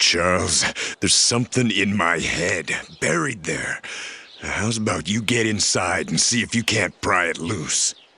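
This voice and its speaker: A man puts on a cartoonish character voice, speaking at a moderate pace in a fairly low pitch. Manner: gruff, terse.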